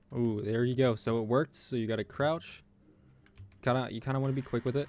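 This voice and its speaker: A man at medium pitch, talking at a very fast pace with fairly even intonation. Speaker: gaming youtuber. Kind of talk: gameplay tutorial commentary. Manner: monotone.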